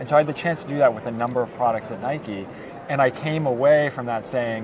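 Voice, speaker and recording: Speaking very fast with fairly even intonation, a man with an American accent is heard over noticeable background noise. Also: medium pitch for a man. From United States. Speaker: startup executive. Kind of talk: interview. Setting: conference venue.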